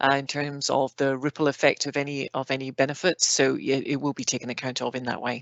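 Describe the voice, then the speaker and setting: Words come at a very fast pace with hardly any pauses. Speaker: planning process expert panelist. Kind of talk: online Q&A panel. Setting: online video session.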